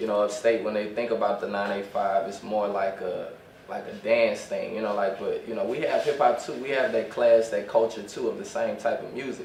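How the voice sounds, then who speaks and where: A man talks at a fairly quick pace. Audible room echo and noticeable background noise come through. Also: hardly any pauses. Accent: American. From Louisiana, near Hammond. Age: 20s. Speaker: rapper. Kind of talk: interview.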